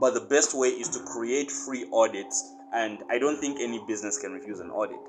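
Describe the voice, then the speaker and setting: A man of medium pitch with a Zambian accent, music in the background. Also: ordinary pitch variation, fairly quick pace. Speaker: marketing agency owner and course instructor. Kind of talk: tutorial. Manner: casual, conversational.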